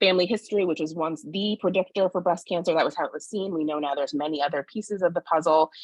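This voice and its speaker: Talking very fast with hardly any pauses, a woman uses a fairly low pitch. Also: ordinary pitch variation. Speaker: sociologist and forum moderator. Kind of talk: community forum moderation.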